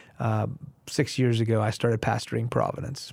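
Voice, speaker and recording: A man with a Texas accent talks at a fairly quick pace in a dark, mellow tone. His intonation is monotone and flat, and the recording is very clean with a silent background. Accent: American (Texas). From Houston area, Texas, US (Iranian family, early childhood in Iran). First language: Farsi. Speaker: pastor. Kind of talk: interview, testimony.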